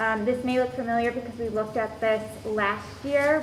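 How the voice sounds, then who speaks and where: A woman talks at a moderate pace with fairly even intonation. Audible room echo and noticeable background noise come through. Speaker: school administrator presenting policies. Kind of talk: board meeting presentation. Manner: hesitant, many fillers.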